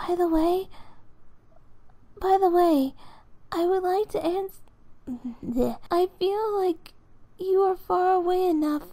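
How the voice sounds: A woman's put-on character voice, extremely high in pitch and dark and mellow in tone, with ordinary pitch variation, a slow pace and long, frequent pauses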